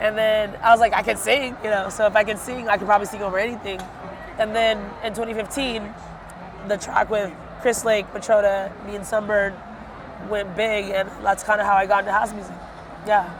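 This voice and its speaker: A woman speaks quickly at a medium pitch, leaving long, frequent pauses. Noticeable background noise runs underneath. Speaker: singer and house music artist. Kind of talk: casual interview. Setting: music festival. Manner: animated, filler-heavy.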